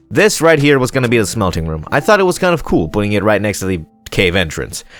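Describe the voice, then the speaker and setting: Music plays in the background as a man talks at a very fast pace. His fairly low pitch makes very wide swings. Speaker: gaming commentator. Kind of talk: casual let's play commentary.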